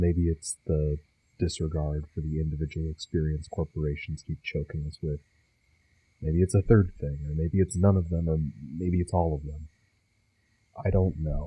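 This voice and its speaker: Somewhat breathy and very deep, a man's low voice moves at a moderate pace with long, frequent pauses and fairly even intonation, in a dry, close sound with no echo over a quiet background. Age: young. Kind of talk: personal video essay.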